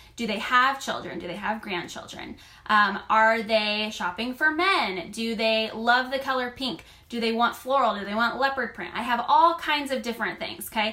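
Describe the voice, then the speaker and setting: Noticeable background noise sits behind the speech. A woman of fairly high pitch talks at a moderate pace. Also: ordinary pitch variation. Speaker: online clothing boutique stylist and seller. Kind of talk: live stream coaching talk. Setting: live video stream. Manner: loud; animated.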